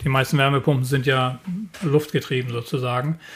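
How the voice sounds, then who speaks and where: Somewhat breathy and at medium pitch, a man talks in a monotone, flat intonation. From northern Germany, Lüneburg Heath. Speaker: climate scientist. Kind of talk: interview.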